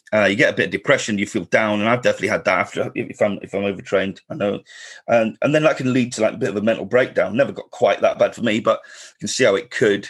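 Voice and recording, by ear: The voice has a slightly husky edge and a fast pace. Its pitch variation is ordinary. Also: man, fairly low pitch for a man.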